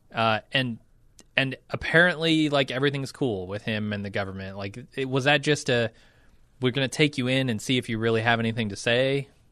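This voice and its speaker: In a quiet background, a man of medium pitch talks at a fairly quick pace with a bright, sharp tone. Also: ordinary pitch variation. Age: 30s. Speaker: podcast host. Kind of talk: casual chat.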